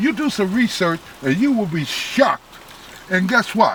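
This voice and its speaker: The speaker talks at a moderate pace in an animated tone over noticeable background noise. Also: man. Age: 70s. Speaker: volunteer ambulance corps commander. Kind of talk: interview.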